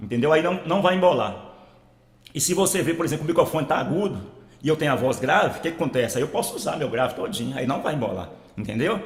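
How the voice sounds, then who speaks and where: A man talking very fast, fairly high-pitched, with lively intonation. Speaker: audio tutorial youtuber. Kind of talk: tutorial. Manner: casual, repetitive filler.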